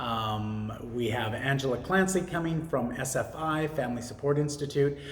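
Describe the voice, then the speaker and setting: Lively intonation from a man, with audible room echo and noticeable background noise. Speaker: vlogger and small business owner. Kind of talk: casual monologue. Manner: halting, many fillers.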